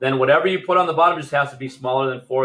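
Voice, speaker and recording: This man's voice sits at a fairly high pitch. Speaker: fifth grade teacher. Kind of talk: recorded math lesson. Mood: relaxed, playful.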